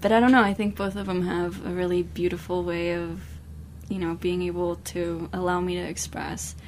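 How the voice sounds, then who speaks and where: Speech at a moderate pace with audible room echo. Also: woman. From Mexico. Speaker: newspaper editor. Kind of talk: radio interview.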